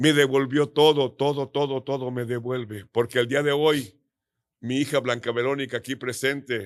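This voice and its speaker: His voice sits at a medium pitch and moves at a moderate pace. The intonation is monotone and flat, against a quiet background. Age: 70s. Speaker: pastor. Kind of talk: testimony.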